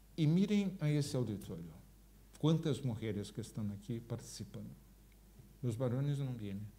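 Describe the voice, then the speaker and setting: With a dark, mellow tone and somewhat breathy delivery, a man at medium pitch moves at a moderate pace through very wide pitch swings and long, frequent pauses, with audible room echo. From Brazil. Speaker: gerontologist, public health expert. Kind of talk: public talk with audience Q&A. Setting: auditorium with live audience.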